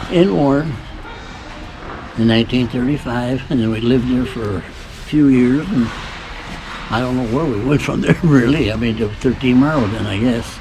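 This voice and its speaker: A man speaks at a medium pitch and moderate pace, with ordinary pitch variation and long, frequent pauses. Audible room echo and noticeable background noise fill the recording. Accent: Michigan. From Michigan, US. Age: 80s+. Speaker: great-grandfather being interviewed. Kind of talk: casual family interview.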